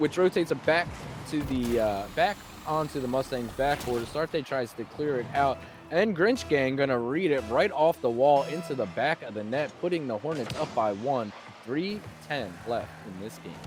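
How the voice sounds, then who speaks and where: With music playing behind him, a man talks at a moderate pace in a medium pitch, his intonation lively. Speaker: esports caster. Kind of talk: live commentary. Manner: animated.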